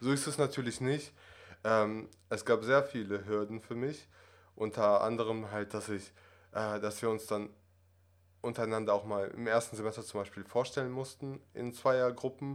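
Recorded very cleanly with a silent background, a man speaks at a medium pitch. His intonation is fairly even and his pace moderate. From Russia, moved to Germany at six. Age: 20s. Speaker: acting student. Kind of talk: interview conversation. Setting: office. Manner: hesitant, many fillers.

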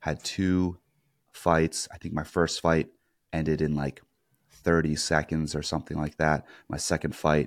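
A man's very deep, low voice with fairly even intonation. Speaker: podcast host. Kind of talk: casual interview. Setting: remote call.

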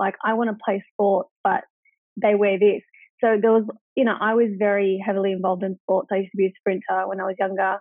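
With an Australian accent, a woman talks at a fairly quick pace in a monotone, flat intonation. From Australia, regional New South Wales (Wagga Wagga). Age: 20s. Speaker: entrepreneur. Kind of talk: interview.

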